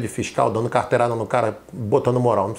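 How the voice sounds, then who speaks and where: Somewhat breathy male speech at a fairly quick pace. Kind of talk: firm, advisory.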